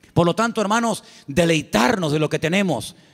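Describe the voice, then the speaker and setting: The pace is fairly quick and the background is quiet. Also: man. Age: 50s. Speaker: pastor. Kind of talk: sermon. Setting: church. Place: church. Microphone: handheld.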